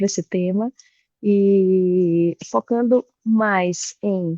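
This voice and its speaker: A woman with a Bahian accent speaks at a medium pitch with ordinary pitch variation and a dark, mellow tone. The sound is dry and close with no echo, over a quiet background. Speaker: tax executive and board member. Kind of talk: online presentation.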